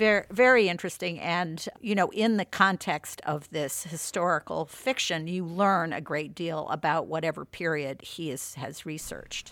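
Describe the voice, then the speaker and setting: A woman has an unremarkable speaking voice, fairly low in pitch. She keeps a moderate pace with hardly any pauses, in a very clean recording with a silent background. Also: ordinary pitch variation. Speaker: magazine founder and audiobook reviewer. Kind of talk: casual chat.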